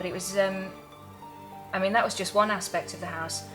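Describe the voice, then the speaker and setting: Music plays in the background as a woman of medium pitch talks at a very fast pace. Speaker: cabaret and singing performer. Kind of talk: ghost story told casually, recounting a family tale. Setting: told at a pub.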